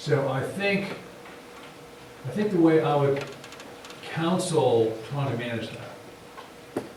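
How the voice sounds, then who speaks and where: Audible room echo and noticeable background noise surround a man with a fairly high pitch. He speaks at a very slow pace with ordinary pitch variation. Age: 60s. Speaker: design lecturer and author. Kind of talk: interview. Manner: halting.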